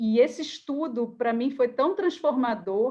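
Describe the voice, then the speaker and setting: With a high pitch and lively intonation, a woman talks. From Rio de Janeiro, Brazil. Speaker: career coach. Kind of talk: online workshop talk.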